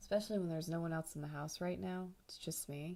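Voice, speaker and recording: Soft-spoken and fairly low-pitched, a woman talks at a moderate pace with fairly even intonation. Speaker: artist streamer. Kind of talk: casual livestream chat while painting. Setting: home livestream, quiet house. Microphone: too quiet.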